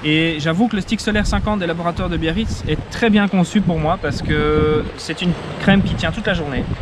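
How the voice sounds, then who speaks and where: A man's high-pitched voice at a fairly quick pace, ordinary pitch variation, noticeable background noise. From Belgium, south of Brussels. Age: 30s. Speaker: sailor. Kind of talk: testimonial interview. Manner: hesitant, many fillers.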